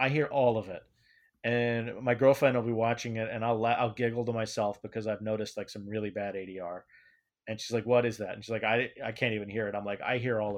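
In a monotone, flat intonation, a man talks at a very fast pace with big swings in loudness over a quiet background. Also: medium pitch for a man. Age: 40s. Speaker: independent filmmaker. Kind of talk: interview.

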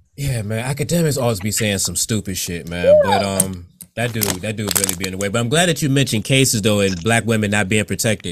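Music plays in the background as a man with a fairly low pitch talks at a very fast pace with ordinary pitch variation. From Virginia Beach, US. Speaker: podcast host. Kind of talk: casual interview. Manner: laid back.

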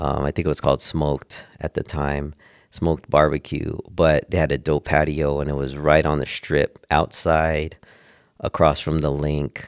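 Dry and close with no echo, a man's very deep, low voice speaks at a moderate pace with an American accent and monotone, flat intonation. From Southern California (Oxnard). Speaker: DJ. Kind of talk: casual chat.

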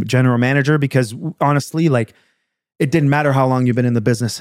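A man talks at a medium pitch with fairly even intonation. The sound is dry and close, without echo. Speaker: car sales manager. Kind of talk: casual chat. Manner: loud.

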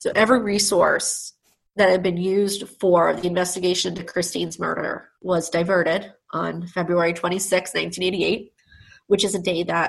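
An ordinary speaking voice from a woman with an American accent, fairly low in pitch, at a moderate pace with fairly even intonation. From Long Island, New York. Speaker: lawyer. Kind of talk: interview.

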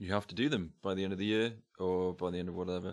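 A man talks at a fairly quick pace with an English accent. His voice sits very deep and low. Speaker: friend of the host. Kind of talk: casual chat.

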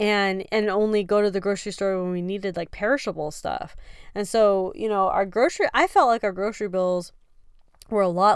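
A woman's plain, everyday voice, medium in pitch with ordinary pitch variation, at a moderate pace, in a very clean recording with a silent background. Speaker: preparedness podcast host. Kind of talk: casual solo podcast talk. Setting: living in an RV off grid.

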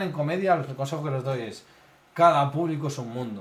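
At a moderate pace, a man with a fairly high pitch and ordinary pitch variation talks through noticeable background noise and audible room echo. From Spain, Madrid. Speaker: stand-up comedian. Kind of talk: casual chat.

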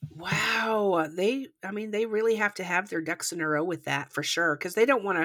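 This woman talks at a moderate pace. Her pitch varies in an ordinary way. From Canada. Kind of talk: scripted true crime narration; casual chat. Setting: remote recording across countries.

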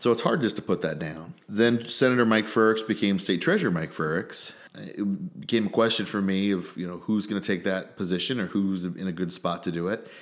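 With a Midwestern American accent, a man with a fairly low voice speaks at a fairly quick pace with hardly any pauses and ordinary pitch variation. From central Illinois (small town). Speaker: state senator. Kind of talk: interview.

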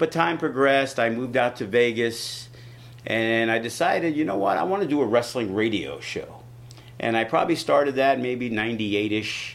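A man talks in an ordinary speaking voice at a medium pitch and a moderate pace, with ordinary pitch variation. He has an American accent. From New York City. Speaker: wrestling promoter. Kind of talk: casual interview.

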